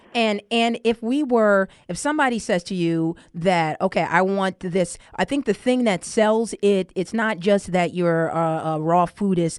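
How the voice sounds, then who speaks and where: A woman's voice of medium pitch, an ordinary speaking voice, at a fairly slow pace with hardly any pauses, ordinary pitch variation, dry, close sound with no echo and a quiet background. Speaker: radio show host. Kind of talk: casual radio talk.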